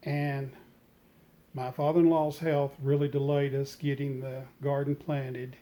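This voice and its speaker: Leaving long, frequent pauses, a man with a fairly high voice speaks at a fairly slow pace in a dark, mellow tone with monotone, flat intonation. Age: 60s. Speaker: retired home gardener, vlogger. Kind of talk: reflective vlog talk. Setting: sunroom at home.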